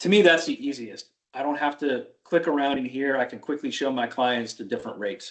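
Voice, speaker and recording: A plain, everyday voice moves at a fairly quick pace with hardly any pauses and lively intonation. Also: man, fairly high pitch for a man. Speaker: Medicare insurance agent trainer. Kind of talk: training tutorial on a video call.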